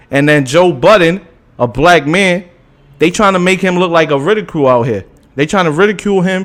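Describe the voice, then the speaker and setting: This man's voice is high in pitch. He speaks at a fairly quick pace. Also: ordinary pitch variation. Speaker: podcast co-host. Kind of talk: casual debate. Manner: fast; animated.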